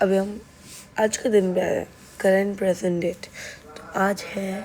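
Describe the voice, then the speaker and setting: Speaking at a moderate pace over noticeable background noise, the woman keeps a monotone, flat intonation at medium pitch. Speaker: travel vlogger. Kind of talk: voice-over narration. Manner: casual, chatty.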